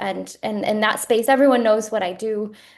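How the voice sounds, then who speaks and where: Soft-spoken, a woman talks at a moderate pace with fairly even intonation. The background is quiet. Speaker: executive director of a church reform organization. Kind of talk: podcast interview. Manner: halting.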